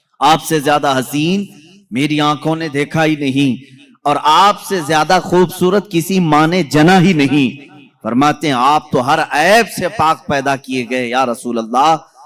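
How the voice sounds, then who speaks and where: A man speaks in an ordinary speaking voice at a fairly high pitch. His pitch varies in an ordinary way. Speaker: Islamic scholar giving a sermon. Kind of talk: religious sermon (bayan) to an audience. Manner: rhetorical, devotional, storytelling.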